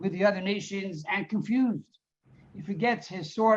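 Quiet background behind a natural reading voice of fairly even intonation

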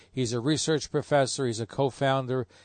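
Against a quiet background, a man with a normal speaking voice talks at a fairly quick pace. His pitch is medium, his intonation fairly even, and the sound dry and close with no echo. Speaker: radio host. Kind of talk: radio show introduction and interview.

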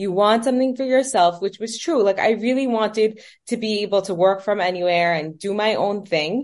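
With a New York accent, a woman talks at medium pitch with ordinary pitch variation. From New York, Brooklyn. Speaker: fashion business owner. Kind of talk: interview.

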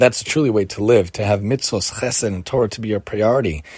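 A man's voice amid noticeable background noise. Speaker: podcast host teaching weekly Torah portion. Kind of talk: religious teaching monologue.

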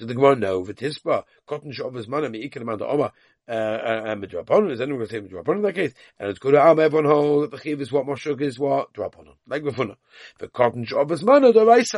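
Speech comes very fast with big swings in loudness and lively intonation, in a dry, close sound with no echo. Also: man, fairly high pitch for a man. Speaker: Talmud teacher. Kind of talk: lecture. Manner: repeats words, halting at times.

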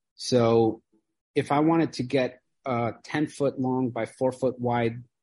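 A man's medium-pitched voice with a dark, mellow tone, a Midwestern accent and ordinary pitch variation. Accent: American Midwest. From US Midwest (Chicago, Iowa). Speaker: furniture maker and business owner. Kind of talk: interview conversation.

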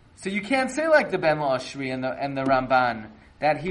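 Against noticeable background noise, a man speaks fairly quickly in an animated tone with lively intonation. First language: not Yiddish. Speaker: rabbi teaching a weekly Torah class. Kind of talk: lecture. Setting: online live class.

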